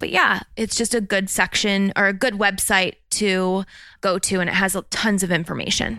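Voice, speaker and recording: The recording is very clean, with a silent background and a dry, close sound with no echo. A woman speaks at a medium pitch and moderate pace in a bright, sharp tone. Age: 30s. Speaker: travel podcast co-host. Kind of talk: casual chat.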